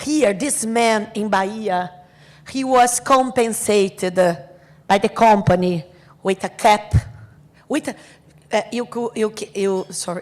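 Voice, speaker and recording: This woman's voice rests at a medium pitch. She talks very slowly. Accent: Brazilian Portuguese. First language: Portuguese. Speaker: asbestos victims' advocate. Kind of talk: conference talk. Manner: halting.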